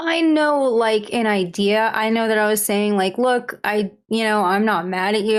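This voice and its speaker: Speaking at a moderate pace with ordinary pitch variation, a woman uses a plain, everyday voice pitched fairly high. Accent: American. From Las Vegas, US. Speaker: interview guest. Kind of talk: casual interview.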